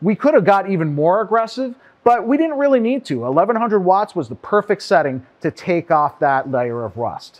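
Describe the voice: A man's high-pitched voice at a moderate pace, with big pitch swings and few pauses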